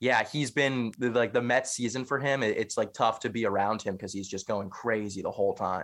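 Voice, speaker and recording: Heard on a very clean recording with a silent background, a man speaks in a plain, everyday voice. His pace is moderate, his pitch medium, with ordinary pitch variation. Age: 20s. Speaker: podcaster. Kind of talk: casual chat.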